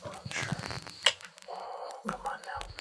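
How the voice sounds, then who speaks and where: A man whispers fairly slowly as noticeable background noise continues around him. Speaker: ASMR creator. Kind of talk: ASMR coloring talk to camera. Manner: soft-spoken, whispered.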